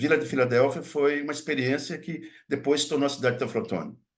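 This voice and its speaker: The man's pitch sits fairly high, and his intonation is lively. He talks very fast, and the room echo is audible. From Minas Gerais, Brazil (Mucuri Valley). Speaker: linguistics professor. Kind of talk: lecture. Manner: halting, many false starts.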